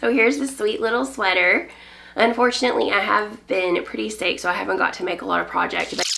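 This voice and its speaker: Moderate pace with a Southern US accent, audible room echo and noticeable background noise. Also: woman. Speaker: knitting podcaster. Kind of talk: casual chat. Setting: home on a farm.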